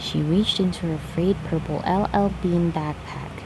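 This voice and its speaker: There is noticeable background noise as the whispering proceeds at a fairly slow pace. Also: woman. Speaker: ASMR reader. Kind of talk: read-aloud story, ASMR. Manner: whispered.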